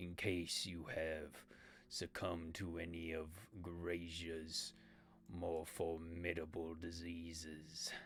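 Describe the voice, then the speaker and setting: Putting on a character voice with a very deep, low pitch, a man speaks very slowly in a monotone, flat delivery over clear background noise. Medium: actual play. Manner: formal, grave, terse.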